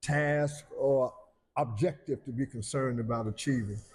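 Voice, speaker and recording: A man talks with a somewhat breathy voice. His pitch varies in an ordinary way. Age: 70s. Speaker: pastor. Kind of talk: interview. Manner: halting, with many fillers.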